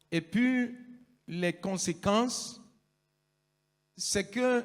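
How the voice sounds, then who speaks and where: A man speaks at a very slow pace. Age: 60s. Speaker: pastor. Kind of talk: public statement.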